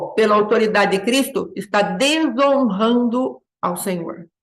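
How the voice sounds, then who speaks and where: A woman speaks at a fairly slow pace with a fairly high pitch. Audible room echo surrounds her voice. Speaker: bible school teacher. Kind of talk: sermon-style lecture.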